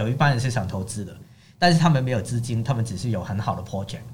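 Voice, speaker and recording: A man with a Cantonese accent at a very fast pace, medium pitch, somewhat breathy, with lively intonation and audible room echo. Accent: Cantonese-accented Mandarin. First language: Cantonese (speaking Chinese). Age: young. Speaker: economist. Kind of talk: casual interview chat.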